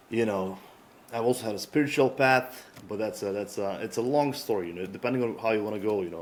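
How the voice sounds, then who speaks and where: A man with a fairly low pitch talks. His pace is very fast, with ordinary pitch variation. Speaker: psychologist and coach. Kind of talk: casual chat.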